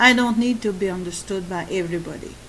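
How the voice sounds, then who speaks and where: A woman with a French accent speaks with fairly even intonation amid noticeable background noise and audible room echo. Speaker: YouTuber on codependency and narcissistic abuse. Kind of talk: monologue talk. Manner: halting.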